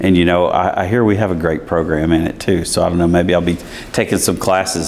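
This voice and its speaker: A man speaks at a very deep, low pitch and a fairly quick pace. Noticeable background noise runs behind him. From US South, East Tennessee. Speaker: college chancellor. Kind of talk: interview. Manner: conversational, many fillers.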